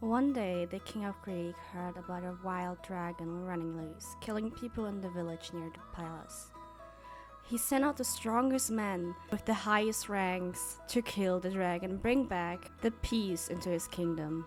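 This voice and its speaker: A woman's medium-pitched voice with ordinary pitch variation at a fairly slow pace, music in the background. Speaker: VTuber storyteller. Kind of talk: storytelling, comfort ASMR roleplay. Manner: storyteller narration.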